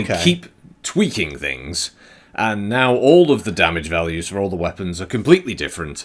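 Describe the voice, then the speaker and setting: A man's pitch sits fairly low but swings very widely. He keeps a moderate pace. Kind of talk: comedic co-host banter over gameplay.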